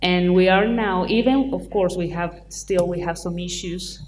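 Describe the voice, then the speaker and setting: A woman's fairly low voice at a fairly slow pace, with fairly even intonation and audible room echo. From Chile. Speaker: film producer. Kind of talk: panel discussion. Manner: halting.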